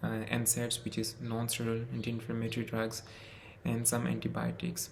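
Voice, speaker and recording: In a room with audible echo, a man with a non-native accent talks at a moderate pace. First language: not English. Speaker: medical student. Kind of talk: personal testimony.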